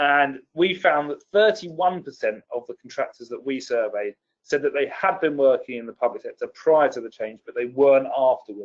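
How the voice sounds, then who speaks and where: Delivered with a British accent and hardly any pauses, the speech has big swings in loudness and a dry, close sound with no echo. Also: man. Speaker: policy expert presenter. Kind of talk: webinar presentation. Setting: online webinar. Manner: fast.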